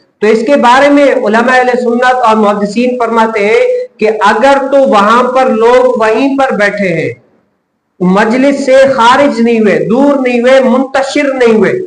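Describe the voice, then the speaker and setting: A man speaks at an extremely high pitch with fairly even intonation. His loudness stays very even. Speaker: Islamic scholar giving a religious lecture. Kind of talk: religious lecture explaining a hadith and ruling.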